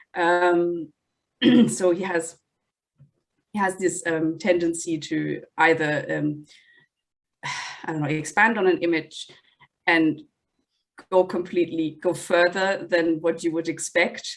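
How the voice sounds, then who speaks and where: A woman's fairly low, monotone voice at a very slow pace, with long, frequent pauses and flat intonation. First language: not English. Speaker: book reviewer. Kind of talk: casual chat.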